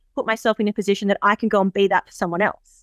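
Dry and close with no echo, a woman's fairly high voice comes through with an Australian accent. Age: 30s. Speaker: horse farm and events business owner. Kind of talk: interview. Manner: animated.

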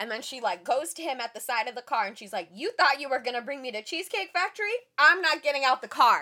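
In a raised, projected voice with a bright, sharp tone, a woman talks at a very fast pace and high pitch, with very wide pitch swings, big swings in loudness and hardly any pauses. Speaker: podcast co-host. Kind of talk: casual chat. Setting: studio.

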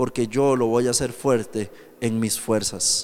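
This is a normal speaking voice with fairly even intonation. The pace is fairly slow. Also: man. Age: 30s. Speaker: pastor. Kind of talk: sermon. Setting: youth camp with audience.

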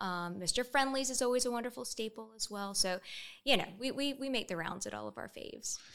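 A woman speaks in a Southern US accent at a high pitch. Her pace is fairly quick and her pitch variation is ordinary. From Columbia, South Carolina. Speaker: volunteer leader. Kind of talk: interview.

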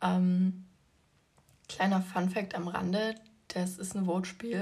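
A woman speaks fairly slowly at a medium pitch, somewhat breathy. Her intonation is monotone and flat. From Leipzig, Germany. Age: 20s. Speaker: podcast host and fitness influencer. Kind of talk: casual solo podcast talk.

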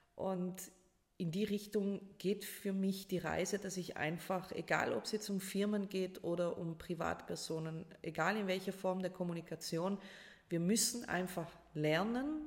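At a moderate pace, a woman with a South Tyrolean accent and a medium pitch speaks in a somewhat breathy voice with fairly even intonation. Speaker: life coach and public speaker. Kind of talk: casual interview. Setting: in person at the host's home.

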